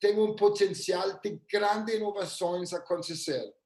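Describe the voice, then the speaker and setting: A man with a non-native accent, high-pitched and at a very slow pace. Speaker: futurist. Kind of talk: live webinar presentation. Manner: halting.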